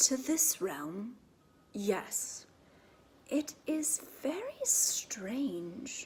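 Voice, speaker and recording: A woman's put-on, high-pitched character voice at a very slow pace, broken by long, frequent pauses. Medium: read story. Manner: clear and loud.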